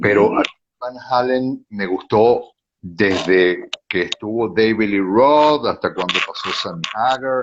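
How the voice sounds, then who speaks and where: Very slow, medium-pitched speech from a man, with ordinary pitch variation. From Venezuela. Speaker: radio announcer. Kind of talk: interview answer.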